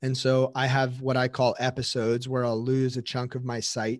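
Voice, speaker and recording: The speaker has a plain, everyday voice at a moderate pace. The sound is dry and close, with no echo. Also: man. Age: 20s. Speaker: physical therapist. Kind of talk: interview testimony.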